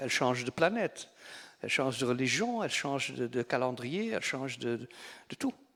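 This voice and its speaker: A man's voice moves with lively intonation, keeping a moderate pace. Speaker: novelist. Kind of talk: literary festival talk. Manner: halting, repeats words.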